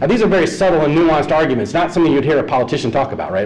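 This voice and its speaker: With an American accent, a man speaks with ordinary pitch variation over noticeable background noise and audible room echo. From US South (Georgia). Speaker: economist panelist. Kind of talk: panel presentation. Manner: fast.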